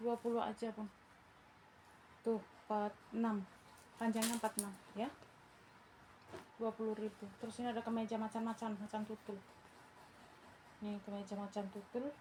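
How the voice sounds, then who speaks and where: Over noticeable background noise, a woman speaks in a fairly high, monotone, flat voice with long, frequent pauses. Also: moderate pace. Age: old. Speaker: online clothing seller. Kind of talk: live sales pitch. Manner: casual, chatty.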